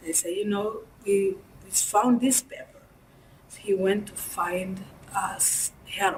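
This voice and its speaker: Speech comes at a very slow pace with a Rwandan accent, fairly even intonation and long, frequent pauses. Noticeable background noise runs underneath. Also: woman, medium pitch for a woman, big swings in loudness. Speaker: genocide survivor, former student. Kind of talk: interview answer.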